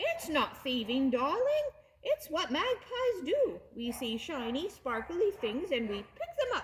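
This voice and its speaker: A woman does a put-on character voice at an extremely high pitch. Her pitch swings very widely, and her pace is fairly slow. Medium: read story. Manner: gushing, breezy.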